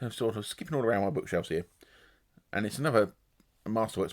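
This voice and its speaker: This man's lively intonation sits at a medium pitch in a very clean recording with a silent background. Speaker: booktuber. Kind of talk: casual book review monologue. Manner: fast.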